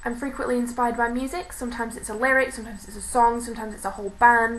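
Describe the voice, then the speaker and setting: With a British accent, a woman speaks at a very fast pace and a fairly high pitch, her intonation fairly even over noticeable background noise. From Britain. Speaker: university student, aspiring author. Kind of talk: casual talk to camera.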